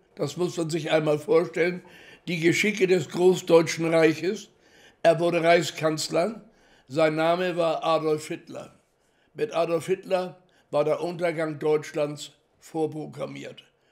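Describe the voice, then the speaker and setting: A man's high-pitched, very slow, monotone delivery with long, frequent pauses against a quiet background. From Hamburg, Germany. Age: 80s+. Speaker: Holocaust survivor, contemporary witness. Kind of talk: interview answer. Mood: earnest, somewhat scornful. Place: home room.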